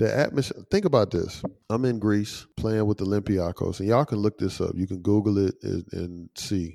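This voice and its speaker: A man with an American accent talks at a moderate pace, his pitch fairly low and his tone dark and mellow. The recording is very clean with a silent background. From US South, Atlanta. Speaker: former pro basketball player. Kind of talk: casual interview chat.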